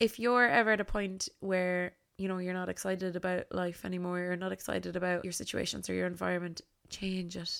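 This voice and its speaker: Animated in tone, a woman with an Irish accent talks at a fairly quick pace and a medium pitch. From Ireland, County Tipperary. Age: 20s. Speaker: podcast host and content creator. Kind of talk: solo podcast monologue. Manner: animated, laughs often.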